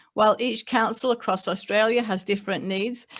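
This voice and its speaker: Speaking in an English accent, a woman keeps her intonation fairly even. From England. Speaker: local government mayor. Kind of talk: prepared speech. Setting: online webinar. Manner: reading from notes.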